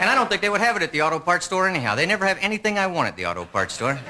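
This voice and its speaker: A high-pitched man with an American accent at a very fast pace, ordinary pitch variation, and noticeable background noise. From Texas (Lubbock). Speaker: stand-up comedian. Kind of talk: stand-up.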